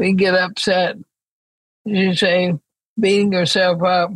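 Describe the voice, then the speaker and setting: This woman sounds somewhat breathy. Her pitch is medium. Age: 80s. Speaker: author and thinker. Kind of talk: interview conversation.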